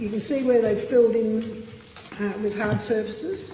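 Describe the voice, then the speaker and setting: A woman with an Australian accent at a moderate pace, fairly even in intonation, with audible room echo and noticeable background noise. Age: 70s. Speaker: local resident giving evidence at a public hearing. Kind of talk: public testimony. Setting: parliamentary committee hearing.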